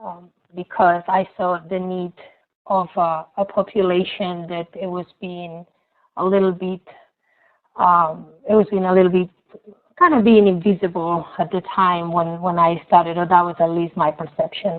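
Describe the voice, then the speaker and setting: Speaking with a Spanish accent, a woman uses a fairly low pitch at a moderate pace. Her intonation is monotone and flat, while her loudness swings widely. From Spain. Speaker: nonprofit founder, presenter. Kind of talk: webinar presentation. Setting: online webinar.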